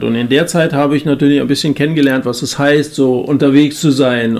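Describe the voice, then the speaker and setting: Noticeable background noise runs under the clip. A man speaks at a fairly high pitch. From Germany, central Hesse. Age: 50s. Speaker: evangelist. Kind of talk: casual chat.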